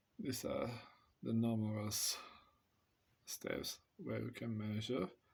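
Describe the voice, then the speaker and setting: In a Romanian accent, a man speaks at a very slow pace. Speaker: amateur radio hobbyist reviewing test equipment. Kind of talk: product demonstration. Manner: hesitant.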